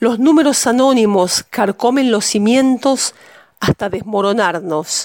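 Heard dry and close with no echo, a plain, everyday voice speaks at a fairly slow pace. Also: woman, fairly high pitch for a woman, ordinary pitch variation. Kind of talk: poetry reading, spoken word. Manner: intimate, measured, grave.

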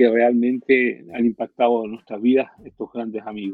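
A man's voice at medium pitch. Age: 50s. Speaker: pastor. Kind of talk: testimony.

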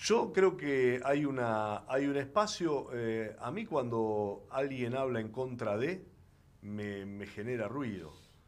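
Lively intonation carries a very slow delivery, with audible room echo around it. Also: man, medium pitch for a man. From Argentina, Rosario (Santa Fe). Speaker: senator, former journalist. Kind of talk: interview. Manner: halting, many fillers and repetitions.

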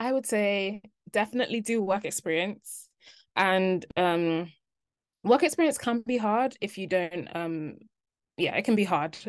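With a London accent, a woman speaks at a medium pitch and a fairly slow pace, showing ordinary pitch variation and long, frequent pauses against a quiet background. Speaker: junior doctor. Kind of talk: interview. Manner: hesitant, many fillers.

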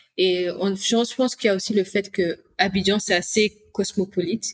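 A woman with a medium-pitched, somewhat breathy voice talks in a flat monotone, recorded dry and close with no echo. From Congo-Brazzaville. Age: 30s. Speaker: returnee to Africa. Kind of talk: interview.

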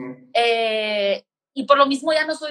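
A woman speaks at a high pitch with ordinary pitch variation. Her tone is bright and sharp. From Mexico. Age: 30s. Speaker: film podcaster. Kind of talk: casual chat. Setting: live stream.

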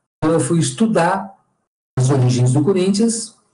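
Music plays in the background as a man speaks with a high pitch. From São Paulo city, Brazil. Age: 50s. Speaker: historian and professor. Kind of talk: interview. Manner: halting, repeats words.

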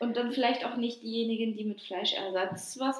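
The speech moves at a fairly quick pace with ordinary pitch variation. Noticeable background noise is present. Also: woman. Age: 20s. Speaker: podcast co-host. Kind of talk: casual chat.

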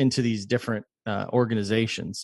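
Against a quiet background, a man with an American accent and an unremarkable speaking voice talks at medium pitch with fairly even intonation, the sound dry and close with no echo. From Texas, Houston. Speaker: web3 developer and musician. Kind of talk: casual interview.

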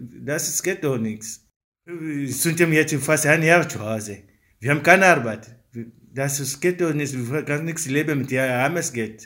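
Speaking at a fairly slow pace, a man with a non-native accent has a fairly high pitch, a bright, sharp tone and ordinary pitch variation. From Africa. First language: not German (speaking German). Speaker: father of four. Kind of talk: interview statement. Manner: halting.

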